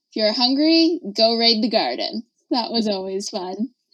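She has a plain, everyday voice with a fairly high pitch. Her pace is moderate. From Canada, northern Manitoba. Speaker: dietitian. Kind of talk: interview.

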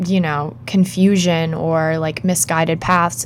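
A woman at a fairly slow pace, against noticeable background noise. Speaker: podcast co-host. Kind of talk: casual chat. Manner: animated.

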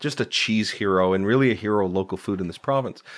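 A man talks very fast with a Canadian accent, his pitch fairly low with ordinary variation. The background is quiet. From Ontario, Canada (Uxbridge area, near Toronto). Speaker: food preservation blogger and cookbook author. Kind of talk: casual interview. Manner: articulate.

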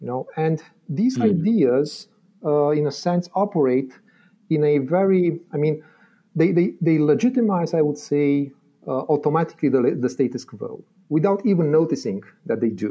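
Speaking at a moderate pace, a man with a Romanian accent uses a fairly high pitch and lively intonation. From Romania, Transylvania. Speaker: philosophy lecturer. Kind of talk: academic explanation in interview. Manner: halting, many fillers and repetitions.

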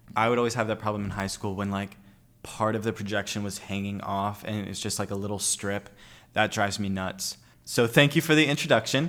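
On a very clean recording with a silent background, a man with an unremarkable speaking voice talks at a fairly quick pace in a fairly low pitch, with ordinary pitch variation. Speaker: college student podcast host. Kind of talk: casual interview.

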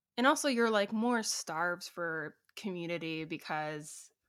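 With a bright, sharp tone and fairly low pitch, a woman speaks at a fairly slow pace with ordinary pitch variation. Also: very clean recording, silent background. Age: 20s. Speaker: musician. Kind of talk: casual interview.

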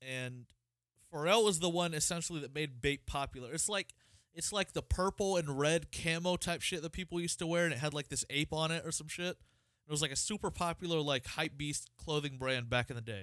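In a normal speaking voice with an American accent, a man talks at a fairly quick pace and fairly high pitch with ordinary pitch variation, recorded very cleanly with a silent background and a dry, close sound with no echo. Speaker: podcast host. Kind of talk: casual chat.

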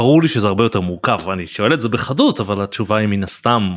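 Talking at a very fast pace, a man has a fairly low pitch. His pitch varies in an ordinary way. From Israel. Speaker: podcast host. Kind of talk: interview.

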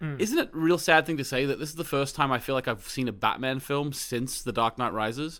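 On a very clean recording with a silent background, a man talks at a fairly quick pace in a bright, sharp tone with ordinary pitch variation. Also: fairly high pitch for a man, hardly any pauses. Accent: Australian. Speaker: podcast co-host; teacher. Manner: fast talker.

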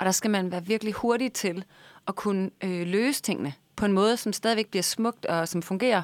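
A woman's plain, everyday voice of medium pitch, with ordinary pitch variation at a moderate pace, in a dry, close sound with no echo. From Denmark, Vejle. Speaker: baking show winner, cookbook author and blogger. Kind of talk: casual chat.

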